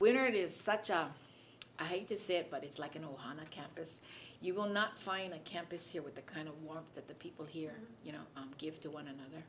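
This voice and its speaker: In a Hawaiian accent, a woman talks at a fairly quick pace with ordinary pitch variation and big swings in loudness. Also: fairly low pitch for a woman. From Hawaii, Kāne‘ohe. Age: old. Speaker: college student and artist. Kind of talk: interview answer.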